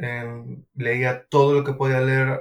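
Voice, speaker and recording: Monotone, flat intonation in a somewhat breathy voice. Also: man. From Venezuela, Maracaibo. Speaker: civil engineer. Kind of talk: interview.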